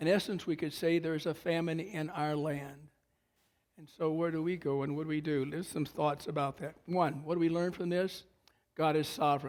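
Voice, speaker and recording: Speaking in a monotone at a moderate pace, a man holds a fairly high pitch. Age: 70s. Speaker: pastor. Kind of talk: sermon.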